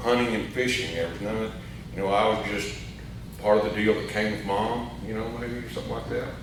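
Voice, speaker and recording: Over noticeable background noise and audible room echo, a man with an Arkansas accent speaks at a fairly low pitch. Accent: Southern US (Arkansas). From US South. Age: 60s. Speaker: AA speaker. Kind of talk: recovery testimony. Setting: meeting hall with audience. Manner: casual, halting with fillers.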